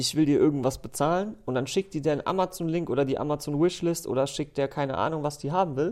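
In a normal speaking voice, a man talks at a fairly quick pace and a fairly high pitch with ordinary pitch variation. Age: 20s. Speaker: recurring podcast guest. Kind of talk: casual chat. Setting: office studio.

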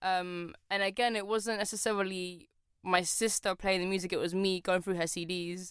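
A woman with a London accent at medium pitch, moderate pace, and monotone, flat intonation, on a very clean recording with a silent background. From London (born in Poland, moved at four). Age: 20s. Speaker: photographer. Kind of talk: casual interview chat.

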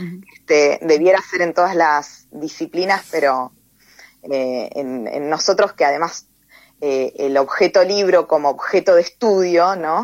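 At a fairly slow pace, a woman talks in a plain, everyday voice, fairly low in pitch with ordinary pitch variation. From Tierra del Fuego, Argentina. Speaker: poet and teacher. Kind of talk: interview.

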